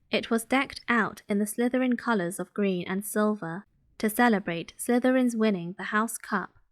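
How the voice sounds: Natural reading voice, pitch shifting in an ordinary way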